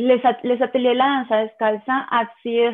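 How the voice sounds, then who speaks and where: A woman with a Spanish accent at a very slow pace. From Colombia. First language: Spanish (speaking French). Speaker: contemporary dancer and dance teacher. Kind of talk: interview testimony.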